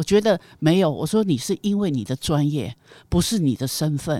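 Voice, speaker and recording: Recorded with a very clean, silent background and a dry, close sound with no echo, a woman speaks at a moderate pace. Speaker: retired nonprofit executive, elder advocate. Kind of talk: interview.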